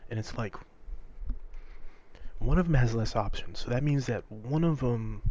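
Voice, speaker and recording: A man whispering at a moderate pace. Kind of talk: casual whispered gameplay commentary. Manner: whispered.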